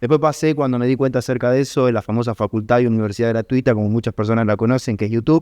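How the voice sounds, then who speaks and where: Against a quiet background, a man talks in a Rioplatense accent. The sound is dry and close with no echo, and his intonation fairly even. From Argentina, Buenos Aires. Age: 30s. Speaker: trader and trading educator. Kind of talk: podcast interview.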